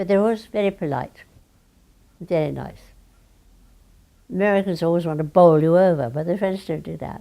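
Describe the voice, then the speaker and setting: A woman's fairly low, dark and mellow voice in a British accent, fairly quick, with ordinary pitch variation and long, frequent pauses. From London, England. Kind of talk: interview answer.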